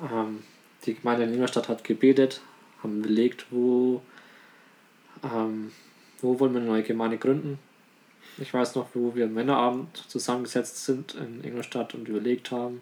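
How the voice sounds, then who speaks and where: Calm and monotone, a man speaks at a medium pitch and a moderate pace, leaving long, frequent pauses. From Bavaria, Germany. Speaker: church deacon. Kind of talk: casual interview. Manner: calm, hesitant.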